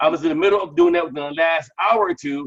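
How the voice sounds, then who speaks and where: A loud man's voice with ordinary pitch variation. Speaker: crypto app promoter. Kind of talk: live webinar Q&A. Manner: fast.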